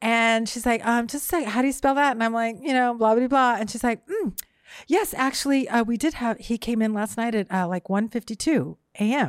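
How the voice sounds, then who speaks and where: A woman's fairly high, animated voice at a fairly quick pace with ordinary pitch variation, on a very clean recording with a silent background. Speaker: comedian. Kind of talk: storytelling. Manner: fast.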